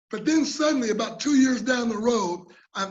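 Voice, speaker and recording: Audible room echo follows a man speaking in a high pitch. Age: 60s. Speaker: conference presenter, mental health peer speaker. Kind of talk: presentation. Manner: halting, with repetitions.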